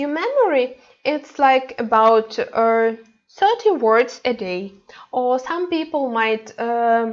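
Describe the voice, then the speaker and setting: Against a quiet background, a woman with a Ukrainian accent speaks at a very slow pace in a high pitch. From Ukraine. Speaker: language teacher. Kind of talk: lecture. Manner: halting.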